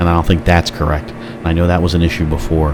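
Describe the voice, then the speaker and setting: Music plays in the background as a man with a very deep, low pitch speaks at a very fast pace. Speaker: flight simulator streamer. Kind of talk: gameplay commentary. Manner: casual, chatty.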